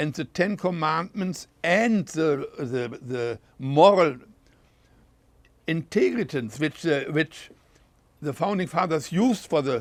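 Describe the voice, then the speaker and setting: In a German accent, a man with a fairly high pitch and lively intonation talks at a very slow pace on a very clean recording with a silent background. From Germany. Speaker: war veteran. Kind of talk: interview answer.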